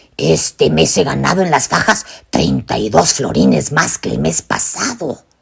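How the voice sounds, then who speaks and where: A put-on character voice comes through raspy and very deep in pitch. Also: moderate pace. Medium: read story. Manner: earnest, paternal.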